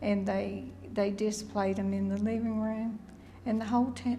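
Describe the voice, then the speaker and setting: A woman with an Appalachian accent at a fairly slow pace, with audible room echo. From Pocahontas, Virginia. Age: 70s. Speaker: local resident. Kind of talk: documentary interview.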